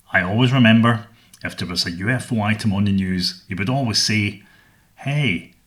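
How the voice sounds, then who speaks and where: Speaking at a moderate pace, a man with a Scottish accent has a fairly low pitch. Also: ordinary pitch variation. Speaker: podcast host. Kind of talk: scripted narration. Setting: home studio.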